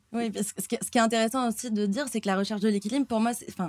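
Talking at a very fast pace, a woman with a fairly high pitch keeps her intonation fairly even. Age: 20s. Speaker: athlete living with diabetes. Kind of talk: casual interview. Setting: near restaurant kitchens. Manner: hesitant, many fillers.

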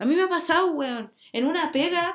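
A woman with a Chilean accent. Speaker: podcast host. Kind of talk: casual monologue. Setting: home bedroom. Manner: animated.

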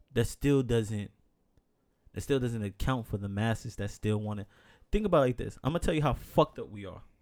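An unremarkable speaking voice from a man with an American accent, medium pitch and ordinary pitch variation, at a fairly quick pace with big swings in loudness. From New York. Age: 30s. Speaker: podcast host. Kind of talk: casual chat.

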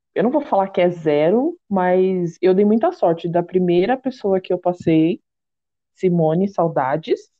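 A woman's normal speaking voice, medium in pitch, with ordinary pitch variation and very even loudness. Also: fairly slow pace. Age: 30s. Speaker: podcast host and confectioner. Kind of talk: casual chat.

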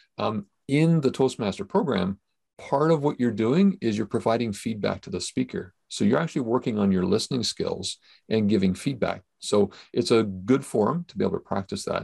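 A man with a Canadian accent has an ordinary speaking voice at medium pitch, with lively intonation and a moderate pace. The recording is very clean, with a silent background. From Canada. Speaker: podcast host. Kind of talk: casual chat.

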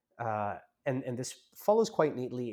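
Recorded very cleanly with a silent background, a man speaks in an American accent. His pitch is medium and his pace moderate. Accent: American-sounding. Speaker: lawyer and discussion host. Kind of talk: discussion. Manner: formal.

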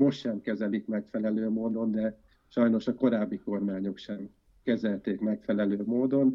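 This man has an ordinary speaking voice, fairly low in pitch, with fairly even intonation. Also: fairly slow pace. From Győr, north-western Hungary. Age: 40s. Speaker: environmentalist and architect. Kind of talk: interview conversation.

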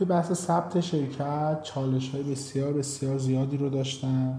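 Both noticeable background noise and audible room echo accompany a man speaking at medium pitch. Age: 20s. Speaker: startup founder and CEO. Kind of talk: interview.

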